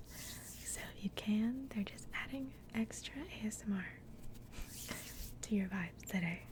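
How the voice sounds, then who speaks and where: A woman whispers at a fairly slow pace, with long, frequent pauses and noticeable background noise. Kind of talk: ASMR soft spoken and whispering. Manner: whispered, soft-spoken.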